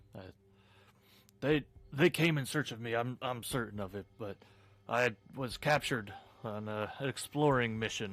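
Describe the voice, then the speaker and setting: A man puts on a gruff character voice at a medium pitch and a moderate pace, leaving long, frequent pauses. Music plays in the background. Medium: actual play. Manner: halting, stammering.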